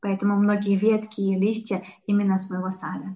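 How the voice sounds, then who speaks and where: A somewhat breathy woman's voice at medium pitch, with fairly even intonation. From Uzbekistan, Tashkent. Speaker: florist and business owner. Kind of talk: interview.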